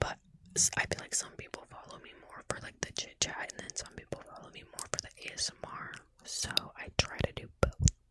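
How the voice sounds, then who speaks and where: Whispering at a fairly quick pace over noticeable background noise. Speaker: ASMR streamer chatting with viewers. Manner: casual, chatty, slangy.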